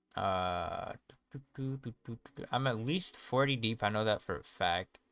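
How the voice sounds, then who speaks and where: A man's voice with dry, close sound and no echo, with music in the background. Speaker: gaming streamer. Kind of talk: live gameplay stream commentary. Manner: fast; casual, animated.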